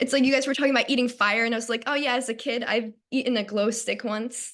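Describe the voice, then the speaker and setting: A woman speaks with a Long Island accent. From Long Island, New York. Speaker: stage actor. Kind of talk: casual interview.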